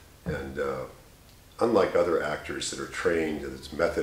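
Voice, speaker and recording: A man at a moderate pace, with audible room echo. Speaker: radio voice hobbyist. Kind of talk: casual talk to camera. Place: home room. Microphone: camera far.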